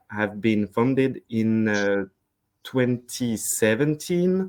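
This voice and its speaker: Medium pitch and lively intonation from a man with a French accent, over a quiet background. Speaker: sales representative. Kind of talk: webinar presentation. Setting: online webinar. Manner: hesitant, many fillers.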